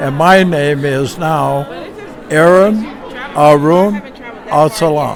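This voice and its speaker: A man with a fairly high pitch talks at a very slow pace with long, frequent pauses and ordinary pitch variation, with audible room echo and crowd noise in the background. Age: 80s+. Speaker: public speaking club member. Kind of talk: interview.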